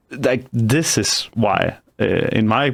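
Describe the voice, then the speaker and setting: A man with a non-native accent speaks at a medium pitch in a very clean recording with a silent background. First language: not English. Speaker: podcast host and YouTube creator. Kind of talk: interview podcast. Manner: halting, many fillers and restarts.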